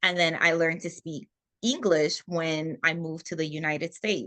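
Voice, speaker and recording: A woman talks with a Haitian accent at a moderate pace. Her tone is bright and sharp. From Haiti and Florida, US; Haitian parents. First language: Haitian Creole. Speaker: former military officer, HR manager. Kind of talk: interview.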